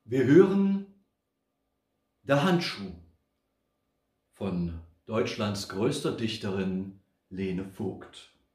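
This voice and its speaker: Amid a quiet background and audible room echo, a man with a fairly low pitch and a somewhat breathy voice talks at a very slow pace with long, frequent pauses and lively intonation. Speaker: poetry reciter. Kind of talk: poetry reading. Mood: humorous, theatrical. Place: home room. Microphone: camera far.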